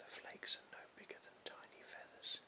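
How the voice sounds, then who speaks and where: A man is whispering. His pace is moderate. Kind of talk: audiobook reading. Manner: whispered.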